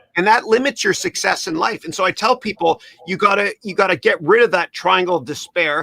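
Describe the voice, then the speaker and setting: In a Canadian accent, a raised, projected voice talks at a very fast pace with an animated tone, the sound dry and close with no echo. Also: man. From Canada. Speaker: podcast host. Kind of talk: interview chat.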